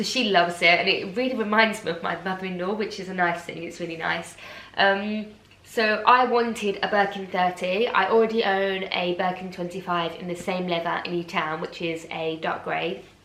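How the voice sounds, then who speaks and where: A woman with an English accent speaks at a moderate pace and medium pitch, her intonation fairly even. Noticeable background noise and audible room echo fill the recording. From England. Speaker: fashion vlogger. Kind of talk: unboxing vlog, casual.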